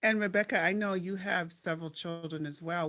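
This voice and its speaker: A woman with an American accent and a plain, everyday voice, fairly low in pitch with ordinary pitch variation, at a moderate pace in a very clean recording with a silent background. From Minnesota, Twin Cities. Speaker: podcast host and panel moderator. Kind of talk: panel discussion.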